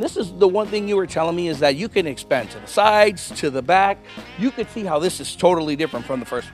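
Over faint background music, a man talks at a very fast pace in a dry sound with no echo. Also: big swings in loudness. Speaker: TV reporter. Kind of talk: live news feature commentary. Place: garage. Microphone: handheld.

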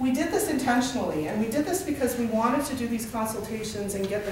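A woman at a very fast pace, audible room echo, noticeable background noise. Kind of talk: presentation to a group. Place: meeting room. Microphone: camera far.

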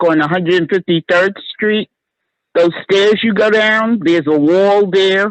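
The pace here is very slow. The speaker is a woman with an American accent. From New York City, Harlem. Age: 70s. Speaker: resident, artist. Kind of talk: community meeting comment.

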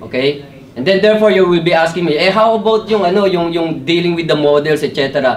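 A man's voice at a fairly quick pace, with ordinary pitch variation. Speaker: presenter. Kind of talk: technical talk. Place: meeting room. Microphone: camera far.

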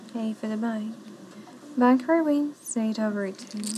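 Mumbling at a fairly slow pace, a woman speaks with a fairly high pitch and ordinary pitch variation over noticeable background noise. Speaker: casino dealer. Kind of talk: live casino game calling. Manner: pleasantly mumbling. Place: studio.

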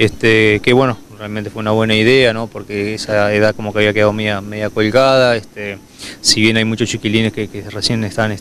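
A man speaks at a fairly quick pace with a fairly low pitch and monotone, flat intonation. The sound is dry with no echo, over light background noise. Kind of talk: interview answer. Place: open country. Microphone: handheld.

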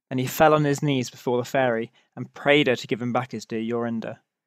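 Here is an unremarkable speaking voice from a man with a medium pitch. He keeps a moderate pace and fairly even intonation. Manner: measured, storytelling cadence.

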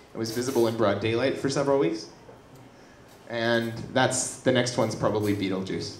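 Over noticeable background noise and audible room echo, a man at a medium pitch talks at a fairly quick pace with ordinary pitch variation and long, frequent pauses. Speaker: science communication video producer. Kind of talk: stage presentation. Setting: stage with audience.

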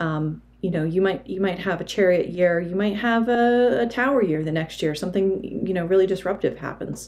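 A woman talks at a moderate pace. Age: 40s. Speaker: tarot reader and video creator; tarot reader, video creator. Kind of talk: tutorial. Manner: hesitant, frequent filler words. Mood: calm, thoughtful. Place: home room. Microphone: phone near.

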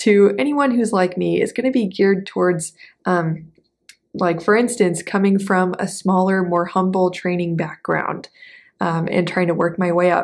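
In an American accent, a woman speaks at a fairly slow pace with an upbeat tone against a quiet background. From US South, South Texas; Texas. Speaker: mindset coach, former ballet dancer. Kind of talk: vlog monologue to camera; casual vlog chat. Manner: upbeat, conversational. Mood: warm, reflective. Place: home room.

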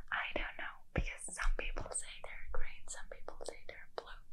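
Soft-spoken, a woman talks in a whisper. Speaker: ASMR creator. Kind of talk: soft ASMR chat to viewer. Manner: soft intimate ASMR whisper. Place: home room. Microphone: phone near.

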